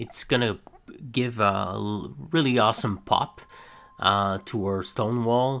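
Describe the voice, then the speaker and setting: A man with a French-Canadian accent, very slow pace, bright, sharp tone and ordinary pitch variation. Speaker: scale model builder. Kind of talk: tutorial. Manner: hesitant, many fillers; casual.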